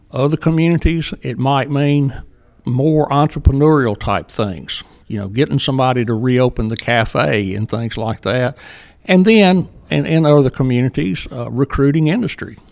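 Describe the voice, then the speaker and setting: With a Southern US accent, a man speaks at a moderate pace and medium pitch, his intonation lively. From Jackson, Mississippi. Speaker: economic development director. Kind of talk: interview conversation.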